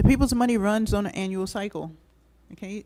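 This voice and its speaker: A soft-spoken woman's dark, mellow tone with ordinary pitch variation. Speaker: city commission presenter. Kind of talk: presentation at public meeting. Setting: public meeting hall.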